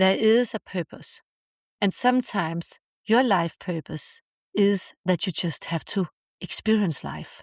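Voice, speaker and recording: A woman with an unremarkable speaking voice talks fairly slowly at medium pitch, with ordinary pitch variation. The sound is dry and close with no echo, on a very clean recording with a silent background. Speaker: podcast host, self-help speaker; mother. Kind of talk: heartfelt podcast monologue on healing and forgiveness. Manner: warm, reassuring, emotionally sincere.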